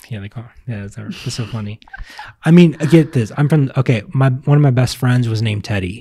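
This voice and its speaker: A man's somewhat breathy voice with a dark, mellow tone and an American accent, broken by long, frequent pauses. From Virginia, US South. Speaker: vlogger. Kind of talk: casual chat.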